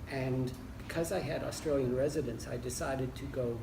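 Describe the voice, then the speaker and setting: Someone with an American accent is heard with audible room echo and noticeable background noise. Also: man. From United States (Michigan). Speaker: leisure studies academic. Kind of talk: interview. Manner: hesitant with fillers.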